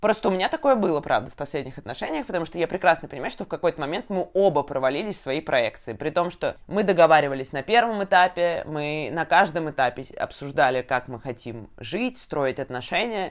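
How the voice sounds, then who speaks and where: A plain, everyday voice, fairly quick in pace, with lively intonation and hardly any pauses. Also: woman, fairly low pitch for a woman. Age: 20s. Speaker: podcast host, designer. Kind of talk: casual chat.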